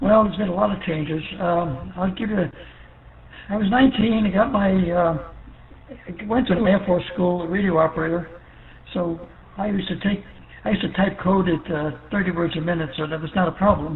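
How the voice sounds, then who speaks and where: Over noticeable background noise, a man with a New York accent talks at a fairly quick pace and high pitch, with ordinary pitch variation. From New York City. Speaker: ham radio operator, Air Force veteran. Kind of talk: radio net check-in chat. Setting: ham radio via repeater.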